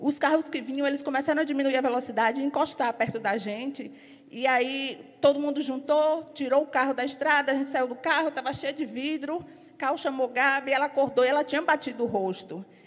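A woman speaks in an animated tone at a fairly quick pace with a high-pitched voice. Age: 40s. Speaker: church member giving an offering exhortation. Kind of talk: sermon.

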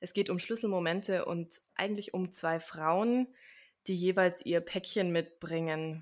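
A woman with a plain, everyday voice speaks at a fairly slow pace in a fairly low pitch, with ordinary pitch variation. The recording is very clean, with a silent background. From Swabia, southern Germany (village near Stuttgart). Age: 30s. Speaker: actress and life coach. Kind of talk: interview.

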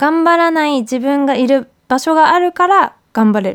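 A woman speaks with lively intonation. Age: 30s. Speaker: podcast host. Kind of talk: casual monologue.

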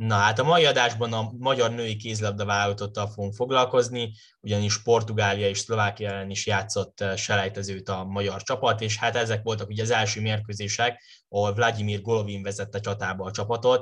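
In a quiet background, a man talks at a fairly quick pace with hardly any pauses, his fairly low voice monotone and flat. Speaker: podcast host. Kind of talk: casual sports discussion.

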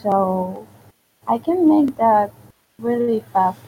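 A woman speaks very slowly with a Venezuelan accent, her pitch fairly high. Her voice is somewhat breathy, with lively intonation. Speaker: digital artist. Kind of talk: casual chat. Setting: online voice chat.

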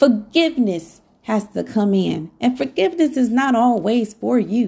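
Fairly slow and somewhat breathy, a woman speaks at a fairly high pitch with a dark, mellow tone. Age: 40s. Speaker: podcast host. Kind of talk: motivational monologue. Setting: home.

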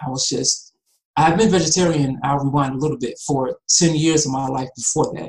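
A somewhat breathy man with an American accent, fairly high-pitched, with ordinary pitch variation and a fairly quick pace. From US South, Atlanta, Georgia. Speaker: animal rights activist. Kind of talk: casual chat.

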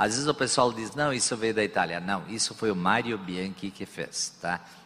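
Fairly low in pitch, a man talks in a plain, everyday voice with ordinary pitch variation. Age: 60s. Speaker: business executive. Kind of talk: on-stage interview. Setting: stage with audience.

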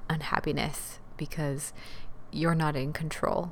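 A soft-spoken woman talks with ordinary pitch variation amid audible room echo. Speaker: podcast host, dance teacher. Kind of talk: motivational solo talk.

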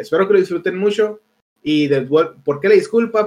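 A man with a Mexican accent talks at a fairly quick pace. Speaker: podcast host. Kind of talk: casual chat.

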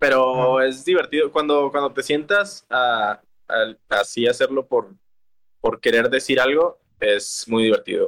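A man's medium-pitched voice at a fairly slow pace, with long, frequent pauses, ordinary pitch variation, very even loudness, and a dry, close sound with no echo. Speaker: singer-songwriter. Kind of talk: casual interview.

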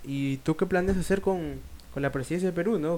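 Fairly quick talking comes with ordinary pitch variation. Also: man. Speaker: podcast co-host. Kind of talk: casual chat.

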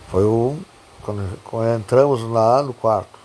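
A man's pitch sits in the medium range and varies in an ordinary way, with noticeable background noise behind him. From southern Brazil, Pelotas area. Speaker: podcaster telling life stories. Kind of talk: personal storytelling monologue. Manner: halting, many repetitions.

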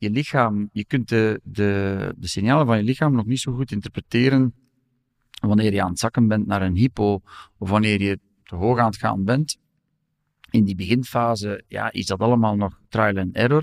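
An unremarkable speaking voice from a man, fairly low in pitch with ordinary variation, at a moderate pace, in a very clean, dry, close recording with no echo and a silent background. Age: 50s. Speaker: law professor and lawyer. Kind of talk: personal testimony interview.

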